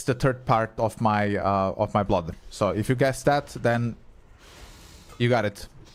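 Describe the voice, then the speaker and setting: A man speaks with a Croatian accent. His pace is moderate. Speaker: gaming streamer. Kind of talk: live gameplay stream chat. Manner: casual, swearing, chatty with viewers.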